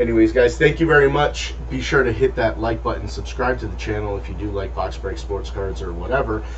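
Light background noise sits behind a man speaking. He keeps a fairly quick pace with hardly any pauses. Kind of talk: casual vlog chat.

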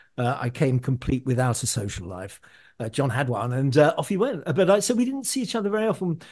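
A man's medium-pitched, somewhat breathy voice with lively intonation at a moderate pace over a quiet background. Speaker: musician. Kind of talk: interview.

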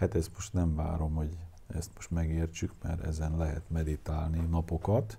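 A man's very deep, low voice, somewhat breathy with fairly even intonation, on a very clean recording with a silent background. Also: moderate pace. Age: 60s. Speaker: lecturer on anthroposophy. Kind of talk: lecture. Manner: halting.

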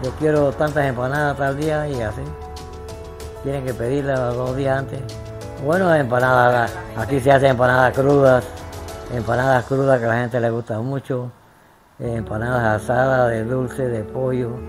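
Clear music plays behind a man speaking at a moderate pace with long, frequent pauses. His medium pitch shows ordinary pitch variation. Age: 80s+. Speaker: retired builder and family snack-shop owner. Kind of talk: interview answer. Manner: hesitant. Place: home room. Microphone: lapel.

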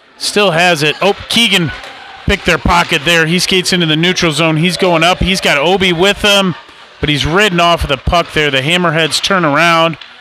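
Noticeable background noise sits behind a man's high-pitched voice, which moves at a moderate pace with fairly even intonation and very even loudness. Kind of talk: live sports commentary.

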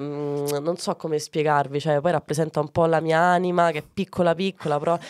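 A woman talks at a fairly quick pace with a very deep, low pitch. Her intonation is monotone and flat. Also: dry sound with no echo. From Ciociaria, Lazio (Arpino, Frosinone); Lazio. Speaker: comedian; comedian guest. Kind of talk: casual interview. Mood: playful, amused. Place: studio. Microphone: studio mic.

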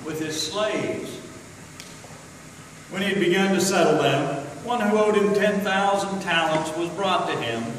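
A man with a high voice talks at a moderate pace with ordinary pitch variation, strong room echo and light background noise. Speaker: scripture reader. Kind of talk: scripture reading. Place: church. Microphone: camera far.

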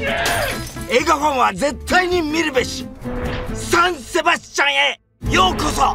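Music plays in the background. A man speaks in an excited tone at a fairly slow pace. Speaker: comedian. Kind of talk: movie trailer. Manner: high-energy, excited.

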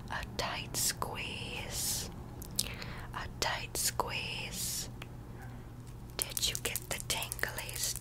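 A soft-spoken woman whispers at a very slow pace, with long, frequent pauses. Loud background noise fills the recording. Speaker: ASMR creator. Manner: soft ASMR whisper, close to the mic. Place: home room. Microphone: earbuds.

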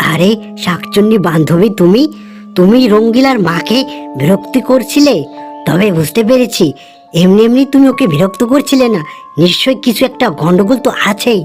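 Clear music plays in the background as a woman does a cartoonish character voice at a medium pitch and moderate pace. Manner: calm, authoritative.

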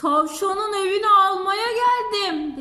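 This woman uses a put-on character voice at an extremely high pitch. She delivers it at a fairly slow pace. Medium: read story.

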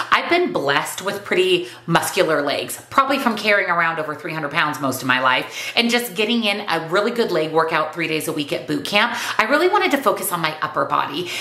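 A woman's fairly quick, lively-toned voice with audible room echo. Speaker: weight loss vlogger and nutrition coach. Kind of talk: casual vlog monologue. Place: home room.

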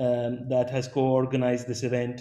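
A man with a medium-pitched voice speaks at a moderate pace. Room echo is audible. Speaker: webinar moderator. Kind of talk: panel discussion. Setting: video call. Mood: calm, polite, formal. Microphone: webcam.

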